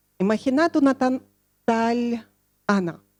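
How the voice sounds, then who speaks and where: Delivered with a Russian accent and ordinary pitch variation, the speech has a dry, close sound with no echo. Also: woman. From Russia (Soviet Union). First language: Russian (speaking Spanish). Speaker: social educator, speaker. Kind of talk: conference talk.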